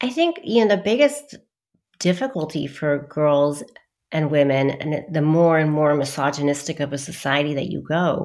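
A woman with an American accent and a very deep, low pitch speaks at a fairly slow pace in a very clean recording with a silent background. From US and London. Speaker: psychiatrist. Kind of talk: interview.

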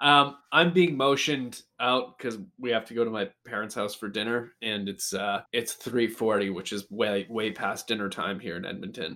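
With a Canadian accent, a man speaks at a moderate pace with ordinary pitch variation. His tone is bright and sharp. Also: medium pitch for a man. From Canada. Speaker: podcast co-host. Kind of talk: casual chat.

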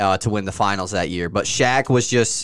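A man speaks at a moderate pace in a plain, everyday voice, his pitch fairly low and his intonation fairly even. The recording is very clean, with a silent background. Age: 20s. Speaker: sports podcast host. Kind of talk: casual chat.

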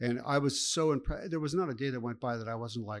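The speaker has an American accent, lively intonation and a fairly quick pace. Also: man. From Chicago. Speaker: live music venue owner. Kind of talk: interview. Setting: venue.

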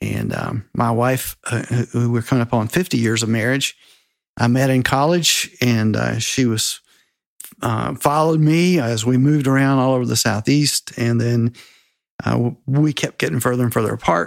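A man with an American accent speaks in a normal speaking voice at a medium pitch and moderate pace. His pitch varies in an ordinary way on a very clean recording with a silent background. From South Carolina. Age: 60s. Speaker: mentor and author. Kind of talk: casual interview.

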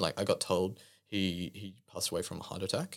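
In a very clean recording with a silent background, a man talks at a moderate pace with an Australian accent. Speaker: church member. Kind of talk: testimony.

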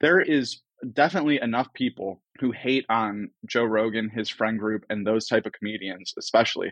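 In an American accent, a man speaks with an ordinary speaking voice at medium pitch and a moderate pace, with ordinary pitch variation and hardly any pauses, the sound dry and close with no echo against a quiet background. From US Midwest (Cleveland, Ohio). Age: 20s. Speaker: comedy media founder. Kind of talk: casual chat.

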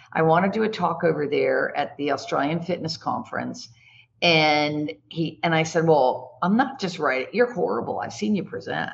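Somewhat breathy and fairly low in pitch, a woman talks at a moderate pace. Her pitch swings very widely. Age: 60s. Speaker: executive coach and speaker. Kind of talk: casual interview.

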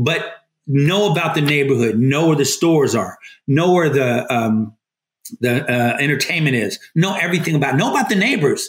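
At a moderate pace, a man with a fairly high, somewhat breathy voice uses lively intonation while keeping very even loudness. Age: 50s. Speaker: real estate team lead, retired army veteran. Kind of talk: casual interview.

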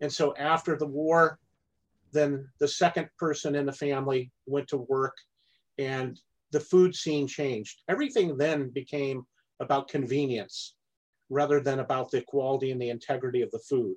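A man with an American accent talks at a moderate pace in an unremarkable speaking voice. His intonation stays fairly even. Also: fairly high pitch for a man. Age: 50s. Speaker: farmer. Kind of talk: podcast interview.

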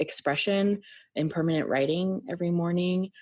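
This woman has a plain, everyday voice, fairly low in pitch, with fairly even intonation. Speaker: author and musician. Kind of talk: casual interview chat.

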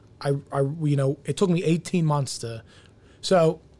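With an American accent, this man talks at a fairly high pitch. There's a somewhat breathy quality to his voice. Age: 30s. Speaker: restaurant owner. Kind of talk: casual chat.

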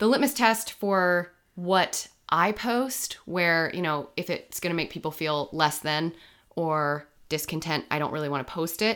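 Recorded very cleanly against a silent background, a woman speaks in an unremarkable speaking voice at a fairly low pitch. Her pace is fairly slow, and her intonation is lively. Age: 30s. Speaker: podcast host. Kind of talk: casual chat.

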